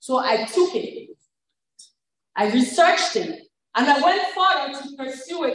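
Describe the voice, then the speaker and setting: A woman's voice swings very widely in pitch, with audible room echo around it. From Cameroon. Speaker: life coach and pharmacist. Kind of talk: event speech.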